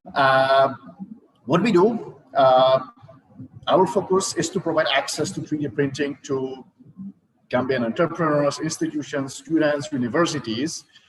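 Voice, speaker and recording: A man with a Czech accent and fairly high pitch speaks at a fairly slow pace, with ordinary pitch variation and long, frequent pauses. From Czech Republic. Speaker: startup founder. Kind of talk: startup pitch presentation. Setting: virtual event livestream. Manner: hesitant, many fillers.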